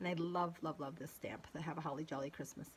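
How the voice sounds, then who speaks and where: A woman's voice comes across somewhat breathy. She talks at a moderate pace. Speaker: card maker, crafter. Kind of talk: show-and-tell tutorial. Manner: halting, stumbling; hesitant, many fillers.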